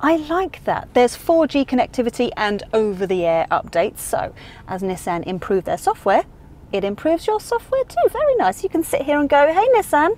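At a moderate pace, a woman speaks at a high pitch with very wide pitch swings in a dry sound with no echo. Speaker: car reviewer. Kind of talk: review presentation. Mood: playful, humorous. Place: car. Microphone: lapel.

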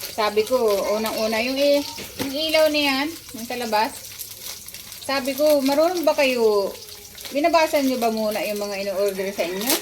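A woman speaks with a high pitch at a moderate pace. Long, frequent pauses break up her speech over noticeable background noise. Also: lively intonation. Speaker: vlogger. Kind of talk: casual home vlog.

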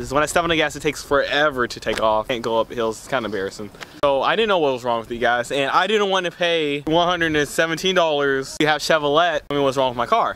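A man talks at a very fast pace. The sound is dry with no echo. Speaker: vlogger. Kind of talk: casual vlog chat. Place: street. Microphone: camera far.

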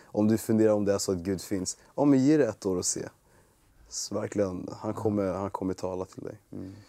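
A man's voice sits fairly low in pitch, with ordinary pitch variation. The tone is dark and mellow, over a quiet background. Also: moderate pace. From Sweden (Boden), born in Congo, early childhood in Rwanda; Sweden. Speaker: bible school student; guest. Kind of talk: testimony. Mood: warm, smiling, earnest. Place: studio. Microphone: lapel.

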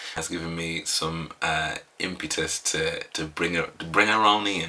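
The voice has a bright, sharp tone and a monotone, flat intonation. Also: man. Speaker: reaction channel host. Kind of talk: casual vlog chat. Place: home room.

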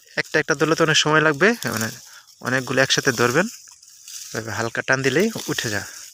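Over noticeable background noise, a man with a fairly high voice speaks with lively intonation. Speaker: farmer and farming vlogger. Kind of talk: casual tutorial.

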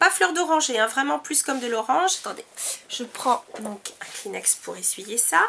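A woman's raised, projected, high-pitched voice with very wide pitch swings at a fairly slow pace, amid noticeable background noise. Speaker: beauty vlogger. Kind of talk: product review monologue. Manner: hesitant, many fillers.

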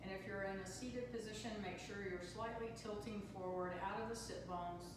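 At a moderate pace and with hardly any pauses, a woman speaks with ordinary pitch variation amid strong room echo and noticeable background noise. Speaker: yoga and meditation teacher. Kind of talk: guided meditation. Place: hall. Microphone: camera far.

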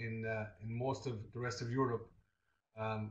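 Moderate pace from a man, room echo audible around him. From southern Ireland. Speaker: teacher. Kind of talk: webinar presentation. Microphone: video call.

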